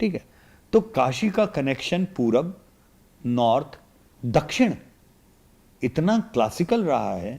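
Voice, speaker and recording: A man's fairly high, somewhat breathy voice with long, frequent pauses. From India, Varanasi (Uttar Pradesh). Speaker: political analyst. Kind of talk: podcast interview. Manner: animated.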